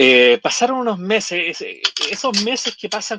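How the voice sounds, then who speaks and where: A man with a Chilean accent, bright and sharp in tone, with lively intonation at a moderate pace, in a dry, close sound with no echo. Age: 40s. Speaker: lawyer turned nomad traveler. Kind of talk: interview conversation. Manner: hesitant, many fillers.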